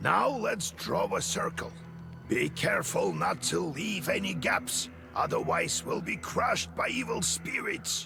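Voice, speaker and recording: A man puts on a character voice and speaks at a fairly slow pace. Clear background noise runs underneath. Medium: video game. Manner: measured, instructive.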